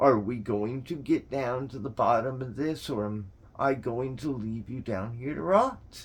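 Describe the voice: Aloud, plain reading, the pitch varying in an ordinary way.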